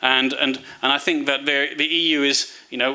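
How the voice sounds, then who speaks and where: A man's fairly high, monotone voice with flat intonation and a British accent. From United Kingdom. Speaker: foreign policy analyst. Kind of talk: seminar talk. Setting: seminar with audience. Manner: hesitant, many fillers and repetitions.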